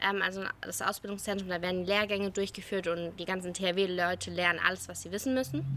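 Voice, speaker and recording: A woman's medium-pitched, bright, sharp voice at a moderate pace in a very clean recording with a silent background. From Germany, near Heidelberg (Baden-Württemberg). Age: 20s. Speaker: disaster relief volunteer and politics student. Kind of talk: interview. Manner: hesitant, many filler sounds.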